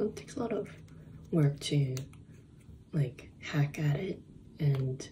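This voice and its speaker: Soft-spoken and calm, a woman talks very slowly in a very deep, low voice over noticeable background noise. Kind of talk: casual vlog chat. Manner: soft-spoken, low calm ASMR voice. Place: home room. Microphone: phone near.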